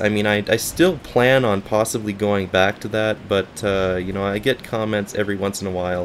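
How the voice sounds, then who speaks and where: Noticeable background noise sits behind a man with a fairly low voice. He speaks at a moderate pace with hardly any pauses. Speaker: gaming YouTuber. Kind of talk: gaming commentary update. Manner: casual, rambling.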